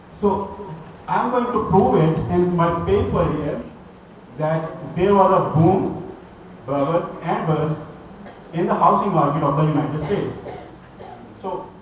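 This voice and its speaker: A man with a high pitch speaks at a fairly slow pace with long, frequent pauses and ordinary pitch variation, amid audible room echo and noticeable background noise. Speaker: academic conference presenter. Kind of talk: conference paper presentation.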